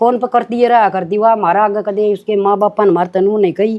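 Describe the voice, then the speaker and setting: Speaking with a Haryana accent, a woman keeps a medium pitch, a moderate pace and ordinary pitch variation. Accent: Haryanvi. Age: old. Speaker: actress. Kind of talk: interview answer.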